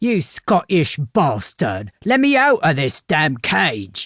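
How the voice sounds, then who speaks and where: In a put-on character voice, a man growls in a gruff, fairly high-pitched tone, swinging very widely in pitch at a very slow pace. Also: quiet background. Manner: angry, shouting.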